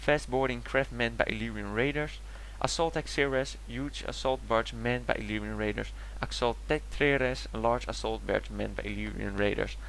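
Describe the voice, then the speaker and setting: This man talks at a moderate pace. He has a Dutch accent. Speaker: gaming YouTuber. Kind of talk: video game commentary. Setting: home recording, basic equipment.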